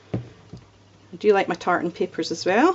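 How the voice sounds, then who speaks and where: A woman speaks with a Scottish accent. Noticeable background noise can be heard. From Scotland. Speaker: card-making crafter. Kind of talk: crafting tutorial. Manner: casual, relaxed.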